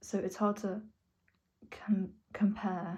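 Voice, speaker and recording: A woman speaks in a somewhat breathy, dark and mellow tone with monotone, flat intonation. The recording is very clean, with a silent background. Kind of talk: personal vlog monologue. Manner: slurred at times.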